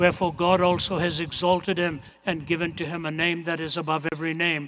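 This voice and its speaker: A man speaks at a moderate pace with a fairly high pitch. His tone is bright and sharp. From India. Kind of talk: sermon to a live audience. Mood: earnest, solemn. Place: stage. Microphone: headset.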